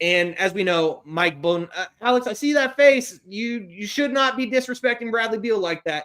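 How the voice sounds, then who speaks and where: Bright and sharp in tone, a man's high voice moves with lively intonation. He keeps a moderate pace with hardly any pauses. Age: 20s. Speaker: sports podcast host. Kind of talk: casual podcast chat. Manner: halting.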